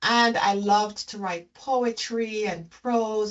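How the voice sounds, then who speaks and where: This woman speaks at a medium pitch with a slight Jamaican accent. Her intonation is fairly even. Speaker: leadership consultant and executive coach. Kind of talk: interview.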